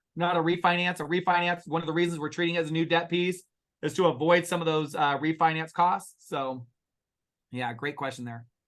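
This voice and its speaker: A man with a fairly high pitch and a very fast pace. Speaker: real estate investment partner. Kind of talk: investor webinar Q&A. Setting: webinar. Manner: loud; animated.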